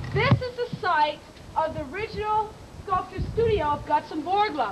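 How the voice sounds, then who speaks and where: Through audible room echo and noticeable background noise, a woman with an extremely high pitch speaks at a moderate pace and with lively intonation. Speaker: park tour guide. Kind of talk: guided tour talk. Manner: loud; long-winded.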